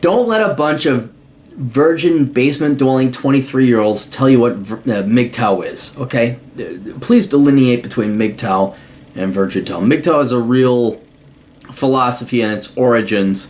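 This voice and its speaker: An animated man with an American accent speaks fairly slowly at a medium pitch. His pitch varies in an ordinary way, and there is noticeable background noise. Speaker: podcast host answering listener mail. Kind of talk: casual commentary reading a listener email. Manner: animated, profane.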